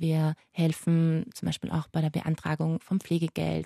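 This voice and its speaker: A woman speaks with a fairly low pitch and a dark, mellow tone. The sound is dry and close with no echo, over a quiet background. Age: 20s. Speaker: pediatric palliative nurse. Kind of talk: interview.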